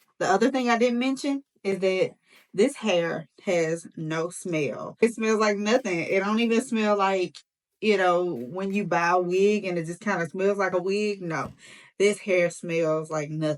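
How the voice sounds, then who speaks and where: A woman with an animated tone, ordinary pitch variation and a fairly slow pace. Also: medium pitch for a woman. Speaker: beauty YouTuber. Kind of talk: tutorial.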